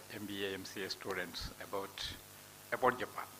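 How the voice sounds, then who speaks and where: The talking moves at a moderate speed over noticeable background noise. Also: man. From India, Udupi, Karnataka. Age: 60s. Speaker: professor. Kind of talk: speech to students.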